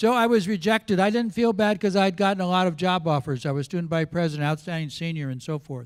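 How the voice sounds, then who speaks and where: A man with an American accent, high in pitch, talking at a very fast pace with ordinary pitch variation on a very clean recording with a silent background. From Central California, US. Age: 70s. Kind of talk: personal testimony speech.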